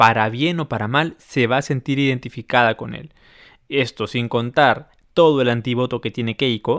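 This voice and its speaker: At a moderate pace, a man with medium pitch and fairly even intonation speaks in an ordinary speaking voice. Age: 30s. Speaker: podcast host. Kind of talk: casual chat.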